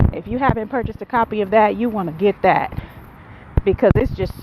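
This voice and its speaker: Speaking with an American accent, a woman uses a medium pitch and ordinary pitch variation over noticeable background noise. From Buffalo, New York. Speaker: vlogger and graduate student. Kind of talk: casual vlog talk. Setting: outdoors, walking in neighborhood. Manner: loud.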